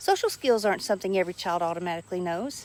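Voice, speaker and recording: A woman speaks with a Southern US accent in an animated tone, using a medium pitch and ordinary pitch variation. The recording is very clean, with a silent background. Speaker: social skills teacher. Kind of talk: educational talk to camera.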